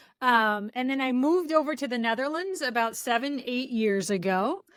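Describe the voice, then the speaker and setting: At a moderate pace, a woman with an American accent uses a normal speaking voice and lively intonation in a very clean recording with a silent background. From US, San Francisco Bay Area. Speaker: product coach and trainer. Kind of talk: interview.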